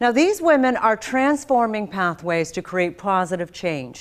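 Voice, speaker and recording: In a General American accent, a woman speaks with very wide pitch swings in a very clean recording with a silent background. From US, raised from age seven; also Philippines. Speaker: broadcast journalist, event host. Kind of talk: scripted event hosting. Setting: virtual conference broadcast. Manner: formal.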